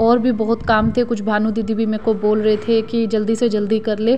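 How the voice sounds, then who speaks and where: Against light background noise, a woman speaks at a moderate pace in a monotone, flat intonation. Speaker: home vlogger. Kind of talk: casual vlog chat. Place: kitchen. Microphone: phone near.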